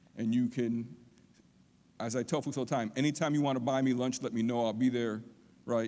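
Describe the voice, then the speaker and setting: On a very clean recording with a silent background, a man of medium pitch speaks in a dark, mellow tone with fairly even intonation and long, frequent pauses. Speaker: college lecturer. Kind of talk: public lecture. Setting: auditorium with audience. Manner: fast.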